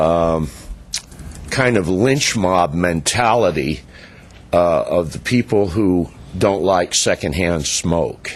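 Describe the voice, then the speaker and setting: A man's very deep, low voice at a very slow pace, with long, frequent pauses and very even loudness. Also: ordinary pitch variation. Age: 60s. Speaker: public commenter at council meeting. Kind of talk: public comment speech.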